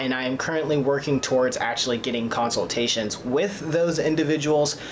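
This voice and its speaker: A man's voice carries audible room echo, with noticeable background noise also present. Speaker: vlogger documenting gender transition. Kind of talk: casual vlog. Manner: hesitant, many fillers.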